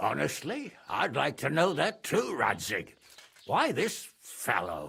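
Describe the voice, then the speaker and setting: Someone uses a put-on character voice at a fairly slow pace. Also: man, very even loudness. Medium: video game. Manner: gruff, blunt, irritable.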